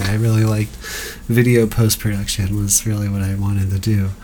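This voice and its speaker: Moderately paced speech from a man, noticeable background noise underneath. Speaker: podcast host and stand-up comedian. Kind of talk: casual chat.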